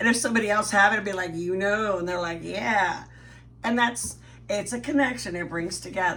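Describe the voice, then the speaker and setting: A woman speaks in an animated tone at medium pitch and a fairly quick pace. Her pitch varies in an ordinary way, and the room echo is audible. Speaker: guest co-host. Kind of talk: casual chat.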